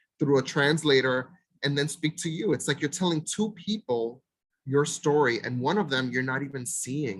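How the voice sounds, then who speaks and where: With a Spanish accent, a man speaks at a fairly high pitch. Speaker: mental health provider. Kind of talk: presentation.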